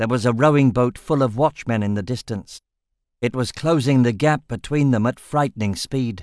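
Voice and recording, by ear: Against a quiet background, a natural voice reads aloud, its pitch varying in an ordinary way.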